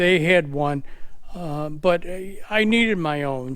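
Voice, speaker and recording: A man with a fairly high voice talks at a very slow pace. Room echo is audible. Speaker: truck driver and hauler. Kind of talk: casual vlog update. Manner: halting with many fillers.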